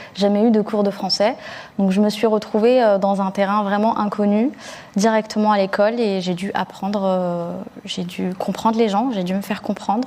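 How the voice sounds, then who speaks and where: A woman talks at a moderate pace. Her medium pitch holds fairly even intonation. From Algeria (Blida), moved to France at eight. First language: Algerian Arabic (darija) (speaking French). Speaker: journalist. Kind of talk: panel discussion. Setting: recorded online conference. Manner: conversational with frequent hesitations.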